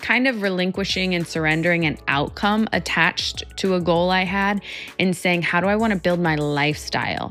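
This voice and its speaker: The speech moves at a moderate pace with ordinary pitch variation. Music sits in the background. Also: woman. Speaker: psychologist and keynote speaker. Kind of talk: motivational talk to camera.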